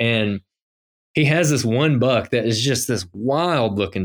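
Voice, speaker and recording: A man's medium-pitched voice at a fairly slow pace, with lively intonation, on a very clean recording with a silent background. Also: dry, close sound with no echo. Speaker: podcast host and GIS professional, deer hunter. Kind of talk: casual interview chat. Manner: animated, filler-heavy.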